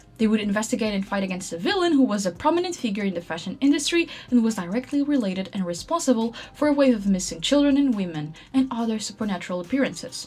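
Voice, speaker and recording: With music in the background, a woman talks at a very fast pace as her pitch swings very widely. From Portugal. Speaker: artist and content creator. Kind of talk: scripted narration.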